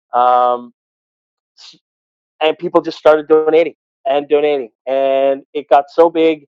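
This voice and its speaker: A man speaks very slowly at a fairly high pitch, in monotone, flat intonation with long, frequent pauses. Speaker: arena PA announcer and radio host. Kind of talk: casual interview answer.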